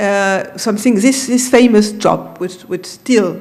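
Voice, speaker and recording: Ordinary pitch variation carries through audible room echo. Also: woman. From France. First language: French. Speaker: film industry consultant. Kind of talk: conference talk. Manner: halting.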